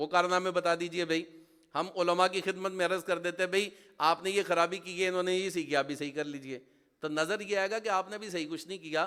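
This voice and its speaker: A man's high-pitched voice, bright and sharp, animated in tone, at a moderate pace. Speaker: Islamic preacher. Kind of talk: sermon.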